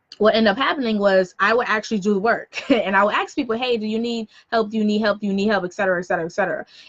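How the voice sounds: A woman with an American accent speaks at a very fast pace and a medium pitch. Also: ordinary pitch variation.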